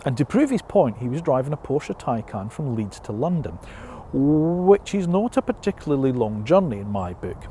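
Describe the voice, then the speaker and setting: In a Scottish accent, a man talks at a moderate pace with very wide pitch swings. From Scotland. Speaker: motoring journalist. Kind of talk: casual talk to camera.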